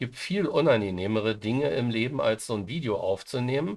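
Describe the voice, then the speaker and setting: The speaker is a man. His intonation is lively. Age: 60s. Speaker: software tutorial YouTuber. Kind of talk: screen-recorded tutorial. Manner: hesitant, many fillers.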